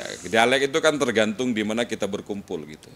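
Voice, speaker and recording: This man's voice is fairly low. His pace is very fast. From Madura, Indonesia. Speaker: university lecturer. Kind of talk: casual interview chat.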